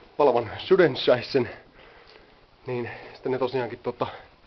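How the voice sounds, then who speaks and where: A man speaks at a very slow pace. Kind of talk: casual travel video talk to camera. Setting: outdoors. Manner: stammering.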